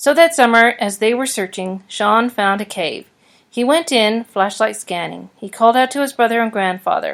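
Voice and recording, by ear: Ordinary pitch variation, from someone reading aloud in a natural voice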